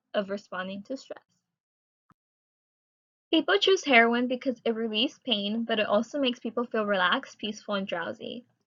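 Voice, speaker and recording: Here is a woman with a normal speaking voice and a fairly high pitch. She moves at a fairly quick pace with ordinary pitch variation. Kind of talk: student presentation read.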